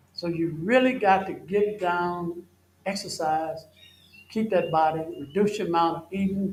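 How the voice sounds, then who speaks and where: A high-pitched man with a Southern US accent and ordinary pitch variation. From US South. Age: 70s. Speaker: health educator. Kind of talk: health seminar Q&A answer.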